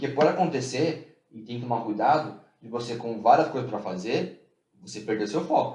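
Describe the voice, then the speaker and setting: In a room with audible echo, a man speaks in a dark, mellow tone that is somewhat breathy. His loudness swings widely. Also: medium pitch for a man, ordinary pitch variation. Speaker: podcast co-host. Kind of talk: casual chat. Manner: fast.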